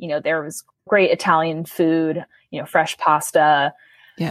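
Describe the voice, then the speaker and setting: In a plain, everyday voice, the speaker talks at a moderate pace with ordinary pitch variation, in a dry, close sound with no echo on a very clean recording with a silent background. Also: woman. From New York City. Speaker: college student and food charity co-founder. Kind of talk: interview.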